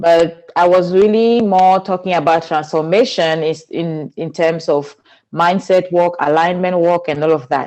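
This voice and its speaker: A woman speaks with a Cameroonian accent in a dark, mellow tone. Her intonation is fairly even. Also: fairly low pitch for a woman, fairly slow pace. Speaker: spiritual teacher and speaker. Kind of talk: interview.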